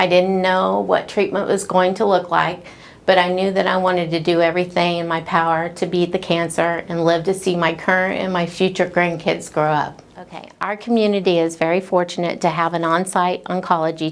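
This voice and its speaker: A woman with a fairly low pitch talks at a fairly quick pace in a monotone, flat intonation, with hardly any pauses. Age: 60s. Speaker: hospital staff member and cancer survivor. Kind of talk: testimony.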